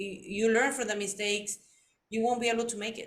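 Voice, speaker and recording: A woman with a Spanish accent speaks at a fairly high pitch in a monotone, flat intonation. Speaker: podcast host. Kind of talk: interview chat.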